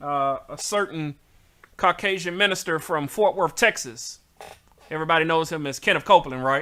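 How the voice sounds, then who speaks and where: A man with a Southern US accent speaks at a fairly high pitch in a bright, sharp tone, with ordinary pitch variation. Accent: southern drawl. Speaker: talk show host. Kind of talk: casual chat. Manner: animated.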